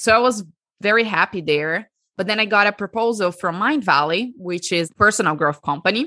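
Lively intonation and a bright, sharp tone come through at a fairly quick pace, with a Portuguese accent over a quiet background. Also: woman, medium pitch for a woman. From Brazil. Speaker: breathwork coach. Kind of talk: interview. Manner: animated.

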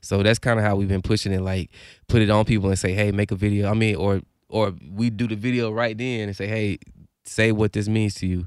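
In a very clean recording with a silent background, a man with a fairly low pitch speaks at a fairly quick pace in a monotone, flat intonation. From Alabama, Huntsville. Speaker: rapper. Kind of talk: casual interview.

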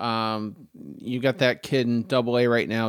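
A man with an American accent speaks at a fairly slow pace in a normal speaking voice, on a very clean recording with a silent background. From Maine, US. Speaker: sports podcast co-host. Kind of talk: casual chat.

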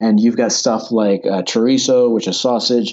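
A man with an unremarkable speaking voice and an American accent, medium pitch, fairly even intonation, and a moderate pace. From United States. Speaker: personal finance youtuber, expat. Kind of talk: casual interview.

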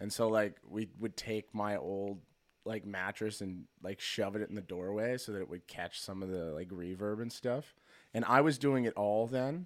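Recorded very cleanly over a silent background, a man with a fairly low pitch talks at a moderate pace with ordinary pitch variation. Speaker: musician and producer. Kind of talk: casual chat. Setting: studio. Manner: halting.

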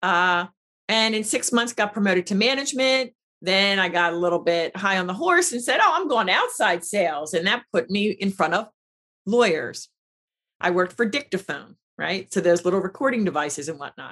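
A woman in an American accent, medium-pitched, energetic and bright, sharp in tone, with lively intonation at a moderate pace. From Pennsylvania, Philadelphia area. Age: 50s. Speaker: business strategist. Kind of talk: interview.

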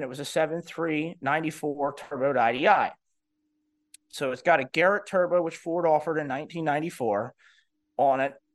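A man's plain, everyday voice, fairly high in pitch, with fairly even intonation over a quiet background. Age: 30s. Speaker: diesel repair business owner. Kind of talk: casual interview.

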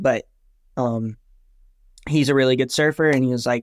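The man's voice sits at medium pitch with fairly even intonation. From US South, North Carolina coast. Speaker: paddleboard racer. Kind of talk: interview.

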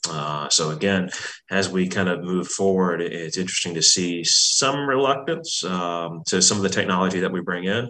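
A man talks at a moderate pace with a very deep, low pitch and ordinary pitch variation. Noticeable background noise sits behind him. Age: 30s. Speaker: family business manager. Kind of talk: interview.

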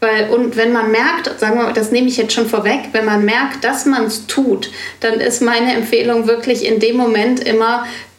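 A woman speaks at a moderate pace with fairly high pitch and fairly even intonation, with audible room echo and noticeable background noise. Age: 40s. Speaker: business mentor. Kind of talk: interview conversation.

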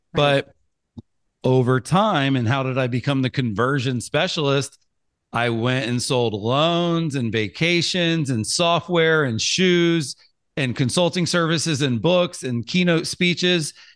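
Against a quiet background, a man speaks fairly slowly in an unremarkable speaking voice with a fairly high pitch, ordinary pitch variation and big swings in loudness. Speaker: marketing entrepreneur and author. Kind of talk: casual interview conversation. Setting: podcast interview.

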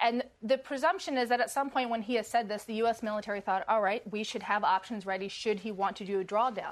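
Speaking at a fairly quick pace, a woman uses a plain, everyday voice with ordinary pitch variation. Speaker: national security reporter. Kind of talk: panel discussion.

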